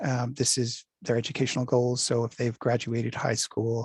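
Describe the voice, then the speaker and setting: The tone is dark and mellow, somewhat breathy. Delivery comes at a moderate pace. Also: man, dry, close sound with no echo. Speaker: workforce development presenter. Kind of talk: presentation. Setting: video call.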